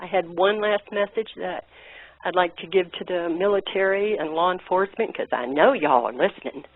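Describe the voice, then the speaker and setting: A woman at a moderate pace and medium pitch, with a normal speaking voice. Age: 60s. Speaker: caller. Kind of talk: impassioned call-in message.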